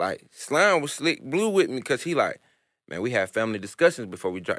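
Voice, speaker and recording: With vocal fry and very wide pitch swings, a man speaks fairly quickly in a very clean recording with a silent background. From US South, born in New York. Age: 20s. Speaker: rapper. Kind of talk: casual interview. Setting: studio.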